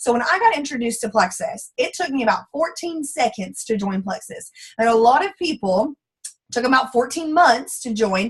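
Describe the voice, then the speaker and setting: A woman speaks with a strong Texan accent at a moderate pace. Her high voice has lively intonation. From Central Texas. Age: 20s. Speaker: former teacher, network marketing distributor. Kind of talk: testimony. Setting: online group call. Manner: animated.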